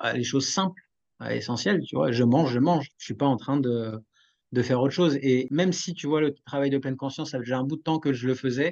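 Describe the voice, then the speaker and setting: Speaking fairly quickly in a normal speaking voice, a man uses a fairly high pitch with ordinary pitch variation over a quiet background. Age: 40s. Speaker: podcast host, wellness. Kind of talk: casual interview chat.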